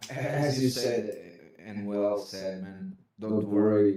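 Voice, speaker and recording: A man speaks in a Portuguese accent. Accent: noticeable Portuguese. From Portugal. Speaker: caller. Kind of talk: call-in Q&A. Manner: halting, repeating words.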